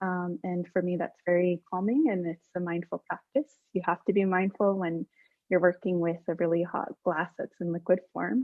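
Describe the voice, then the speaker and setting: Speaking at a moderate pace, the woman has a medium pitch. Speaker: mental health counselor. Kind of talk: panel introduction. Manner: halting, many fillers.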